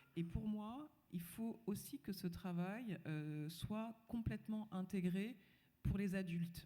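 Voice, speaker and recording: A very slow pace with ordinary pitch variation. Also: woman, medium pitch for a woman. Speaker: panel speaker, former school head. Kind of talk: panel discussion talk. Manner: hesitant, many fillers. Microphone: microphone problems at start.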